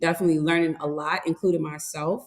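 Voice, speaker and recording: This woman has a New York accent. Her pitch is fairly low. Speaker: webinar host and entrepreneur. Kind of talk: webinar interview.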